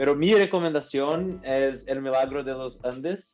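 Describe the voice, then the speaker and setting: A man at a medium pitch with a Portuguese accent, moderate pace and ordinary pitch variation. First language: Portuguese (speaking Spanish). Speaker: business administrator and OKR consultant. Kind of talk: podcast interview. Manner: halting with fillers.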